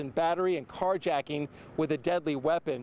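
Man at a fairly quick pace, dry sound with no echo, light background noise. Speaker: TV news reporter. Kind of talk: TV news report. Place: street. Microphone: handheld.

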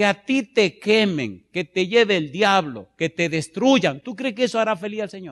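Against a quiet background, the voice sounds animated, with lively intonation, a fairly slow pace and hardly any pauses. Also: man, high pitch for a man. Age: 50s. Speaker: pastor. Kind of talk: sermon. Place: church. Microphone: handheld.

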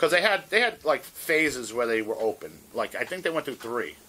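This man talks at a fairly quick pace with a New York accent. His tone is bright and sharp. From New York City, Manhattan; New York City. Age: 50s. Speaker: hardcore guitarist; interviewee. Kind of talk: oral history interview; interview answer. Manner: casual, halting with many fillers.

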